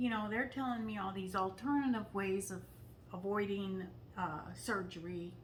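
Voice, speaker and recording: There is noticeable background noise and audible room echo. A woman speaks at a medium pitch and a moderate pace, with ordinary pitch variation. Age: 60s. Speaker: detox enthusiast guest. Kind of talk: casual interview.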